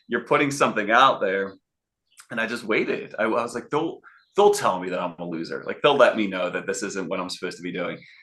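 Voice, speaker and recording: Speaking at a very fast pace, a man talks with a Philadelphia accent. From Philadelphia, US. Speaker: sales and networking consultant. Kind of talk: interview. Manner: animated.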